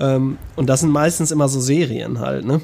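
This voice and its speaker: A man with a fairly high pitch speaks in a dark, mellow tone, his intonation fairly even. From North Rhine-Westphalia. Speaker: sound and music producer. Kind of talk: casual chat.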